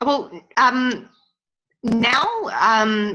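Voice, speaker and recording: A woman with a New Zealand accent speaks at a fairly high pitch in a bright, sharp tone. Her intonation stays fairly even. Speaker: workshop participant. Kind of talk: interactive webinar discussion. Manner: halting. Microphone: choppy connection.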